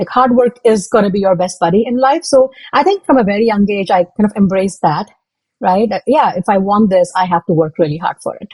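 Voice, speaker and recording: With a Tamil accent, a woman speaks at a medium pitch and a fairly quick pace, her somewhat breathy voice showing ordinary pitch variation in a dry, close sound with no echo. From South India, Hyderabad. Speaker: product manager and public speaker. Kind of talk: interview.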